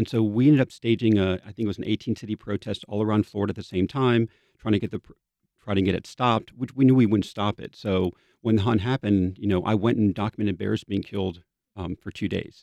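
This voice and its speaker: Speaking at a very fast pace, a man keeps a fairly even intonation in a fairly low pitch. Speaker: animal rights activist. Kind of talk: radio interview.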